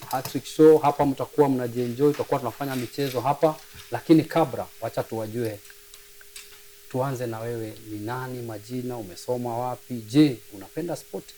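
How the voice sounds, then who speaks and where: With noticeable background noise, a man at medium pitch talks at a fairly quick pace, his intonation fairly even but his loudness swinging widely. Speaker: sports talk show host. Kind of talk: casual interview.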